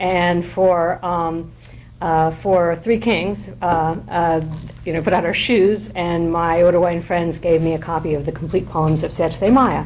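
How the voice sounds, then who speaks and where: A woman with a fairly low pitch and ordinary pitch variation talks at a fairly slow pace, with audible room echo around her. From France, raised bilingual French-English. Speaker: poet and professor. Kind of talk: informal lecture. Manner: halting, many fillers.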